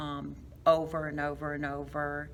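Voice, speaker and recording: A woman speaks at a fairly slow pace. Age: 60s. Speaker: fitness class member, long-term care worker. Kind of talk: interview. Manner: hesitant, many fillers.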